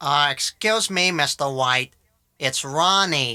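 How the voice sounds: A put-on character voice at a low-to-middle pitch moves at a fairly slow pace in a very clean recording with a silent background.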